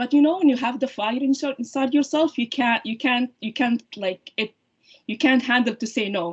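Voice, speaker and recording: Speaking with a non-native accent, a woman uses a high pitch with ordinary pitch variation at a fairly quick pace. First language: not English. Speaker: surgeon-scientist and women's heart health advocate. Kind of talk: podcast interview. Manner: halting, many fillers and restarts.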